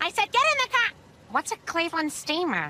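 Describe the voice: Using a squeaky, cartoonish character voice, a woman talks fairly quickly at an extremely high pitch with very wide pitch swings, the sound dry and close with no echo.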